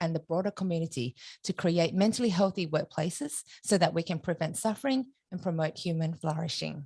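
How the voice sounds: Using a put-on character voice, a woman sounds croaky at a fairly low pitch, talking at a fairly quick pace with ordinary pitch variation in a dry, close sound with no echo.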